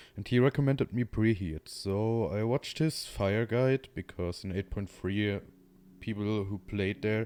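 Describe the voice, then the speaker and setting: A man with a German accent speaks fairly slowly in a dark, mellow tone, with ordinary pitch variation. The sound is dry and close with no echo, and the recording is very clean with a silent background. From Germany. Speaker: gaming streamer viewer and YouTuber. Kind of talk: unscripted monologue to camera. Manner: halting, with many fillers.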